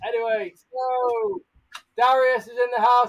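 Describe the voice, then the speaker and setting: A man with an English accent and an extremely high pitch. He talks at a fairly slow pace. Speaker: tarantula keeper and live streamer. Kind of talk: live stream tutorial. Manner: loud; animated.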